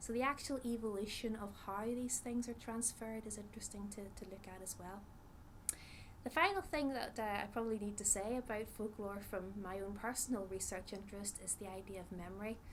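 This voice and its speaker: Over noticeable background noise and audible room echo, a woman with a Northern Irish accent speaks at a fairly high pitch. She keeps a fairly quick pace and fairly even intonation. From Northern Ireland. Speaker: psychologist, researcher. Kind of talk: interview talk, explanatory. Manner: hesitant with frequent fillers.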